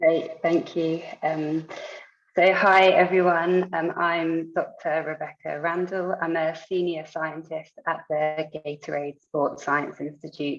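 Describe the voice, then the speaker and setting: Fairly low in pitch, a woman speaks with a British accent at a very slow pace. Her intonation is monotone and flat. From United Kingdom. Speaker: sports scientist. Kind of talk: lecture.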